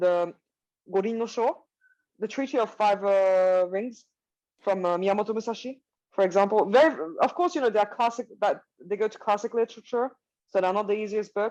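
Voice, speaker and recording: A woman's medium-pitched voice with a Swiss accent, fairly quick pace, ordinary pitch variation, and long, frequent pauses. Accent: Swiss, non-native English. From Switzerland. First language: not English. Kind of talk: interview. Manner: halting, frequent fillers and self-corrections.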